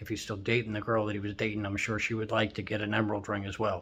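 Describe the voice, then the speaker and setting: A man talks in a fairly low voice. The background is quiet. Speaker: YouTuber and truck driver. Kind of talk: casual vlog. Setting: hotel room. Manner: fast; rambling.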